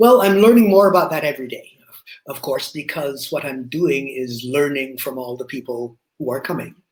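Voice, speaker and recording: A man with an ordinary speaking voice, fairly high in pitch for a man, at a moderate pace, with lively intonation and big swings in loudness. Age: 60s. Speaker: company founder and CEO. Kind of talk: interview.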